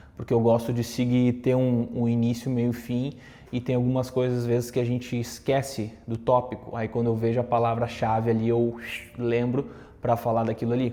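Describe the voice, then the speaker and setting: A man speaks at a moderate pace in a medium pitch, his dark, mellow tone carrying a monotone, flat intonation. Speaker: content creator and communication coach. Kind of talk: casual talk to camera with tips. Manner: conversational with fillers.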